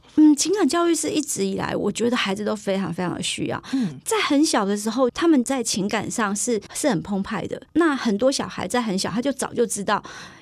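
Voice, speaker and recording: Rushing along at a fairly quick pace with hardly any pauses, a woman speaks at a fairly high pitch with very wide pitch swings. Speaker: primary school teacher. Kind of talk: casual interview. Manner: soft-spoken.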